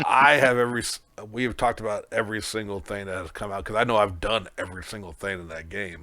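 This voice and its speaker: Bright, sharp and excited, a man with a fairly low voice talks at a very fast pace, with ordinary pitch variation and big swings in loudness. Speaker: podcast co-host. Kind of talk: casual chat. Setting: remote call over the internet. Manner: loud and excited.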